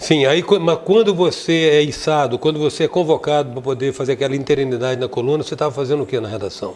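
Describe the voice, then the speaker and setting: A man's fairly high voice at a very fast pace, hardly any pauses, ordinary pitch variation, and noticeable background noise. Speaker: TV talk show host. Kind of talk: interview.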